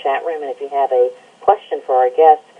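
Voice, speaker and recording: A woman is heard over noticeable background noise. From Alabama, US South. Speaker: environmental news site editor and radio show host. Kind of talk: interview.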